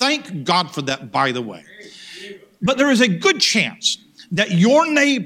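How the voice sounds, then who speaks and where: Raised and projected, a man's bright, sharp voice with an American accent swings very widely in pitch. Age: 50s. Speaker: pastor. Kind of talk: sermon. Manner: repetitive false starts.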